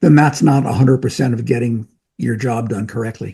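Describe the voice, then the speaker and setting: Speaking at a fairly quick pace, a man with an American accent has a dark, mellow tone and a somewhat breathy sound. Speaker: medical professor and drug-safety researcher. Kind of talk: casual interview.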